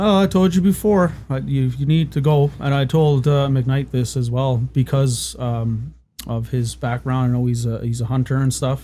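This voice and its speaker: A dark, mellow, somewhat breathy tone with ordinary pitch variation and hardly any pauses. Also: man, medium pitch for a man, moderate pace. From Newfoundland, Canada. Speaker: podcast guest, former bar bouncer. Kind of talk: casual chat.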